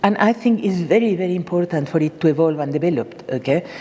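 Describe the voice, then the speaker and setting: A woman with a fairly low pitch, ordinary pitch variation and a moderate pace, with noticeable background noise. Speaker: bonsai artist. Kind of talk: presentation. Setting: stage with audience. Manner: animated.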